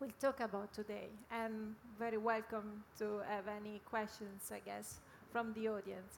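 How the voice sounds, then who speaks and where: A woman with an Italian accent, fairly high-pitched and monotone with flat intonation, at a moderate pace. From Italy, Milan. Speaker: media company executive. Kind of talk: panel discussion.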